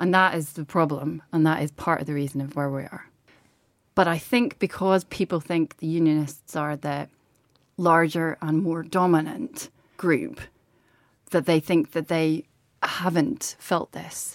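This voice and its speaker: In a Northern Irish accent, a woman speaks fairly slowly at a fairly low pitch with ordinary pitch variation, and the sound is dry and close with no echo. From Northern Ireland. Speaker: journalist. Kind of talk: casual chat.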